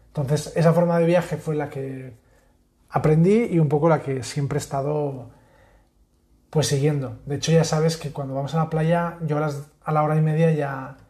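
Intonation holds fairly even. The voice is somewhat breathy, with a dark, mellow tone. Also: man, fairly high pitch for a man, moderate pace. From Catalonia. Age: 30s. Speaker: podcast host, architect. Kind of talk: casual chat.

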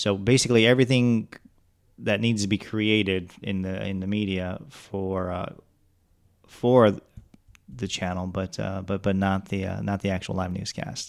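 With an American accent, a man speaks at a moderate pace and a fairly low pitch, keeping his intonation fairly even and leaving long, frequent pauses. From Metro Detroit, Michigan. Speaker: TV station creative director. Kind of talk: casual chat.

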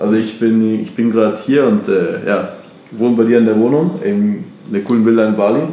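A man speaks at a medium pitch with audible room echo. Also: fairly quick pace. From Germany, Munich. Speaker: entrepreneur. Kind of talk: casual interview. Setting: at host's house in Bali. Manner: energetic.

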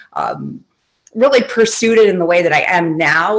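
In an American accent, a woman with an unremarkable speaking voice talks with ordinary pitch variation. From Michigan, lower peninsula. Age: 40s. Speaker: high school English teacher. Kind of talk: casual interview chat.

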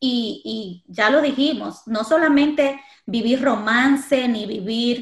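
Her pitch is high and shows ordinary pitch variation. The woman speaks at a very slow pace. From Dominican Republic. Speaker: podcast host. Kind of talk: casual interview.

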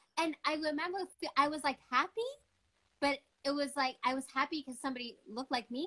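A woman talks at a very fast pace in a raised, projected voice, high in pitch with a bright, sharp tone. Her intonation stays fairly even, broken by long, frequent pauses, and the sound is dry and close with no echo. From Quebec, Montreal. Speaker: adoptee sharing her story. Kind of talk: casual interview chat.

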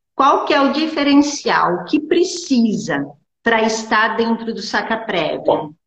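A woman's voice with vocal fry, very wide pitch swings, and a fairly slow pace. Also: fairly high pitch for a woman. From Brazil, small town. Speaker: lawyer and law teacher. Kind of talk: interview. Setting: Instagram live video call. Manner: halting.

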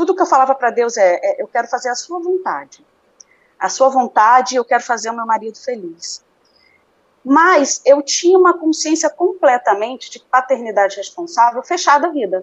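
A woman speaks at a high pitch with very wide pitch swings. Her loudness swings widely as well. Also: moderate pace. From Brazil, Recife then Rio de Janeiro. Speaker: natural family planning instructor and homemaker. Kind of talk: interview.

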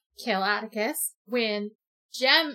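The speaker here is a woman. She raises and projects her voice. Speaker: book podcast co-host. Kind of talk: casual book discussion.

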